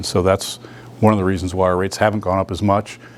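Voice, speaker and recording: A man with a fairly low pitch talks at a very fast pace in a monotone, flat delivery, with noticeable background noise. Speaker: utility executive. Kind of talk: business presentation.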